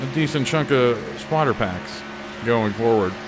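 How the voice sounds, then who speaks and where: A man with a Pittsburgh accent talks at a moderate pace with very wide pitch swings, over noticeable background noise and with audible room echo. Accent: Pittsburgh Yinzer accent, played up slightly. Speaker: racing game video creator. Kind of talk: casual chat. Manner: halting, many fillers.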